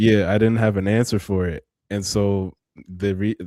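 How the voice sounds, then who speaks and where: At a moderate pace, a man with a very deep, low pitch and a dark, mellow tone speaks with fairly even intonation, recorded very clean with a silent background and a dry, close sound with no echo. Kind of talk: podcast interview. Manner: halting, with repetitions.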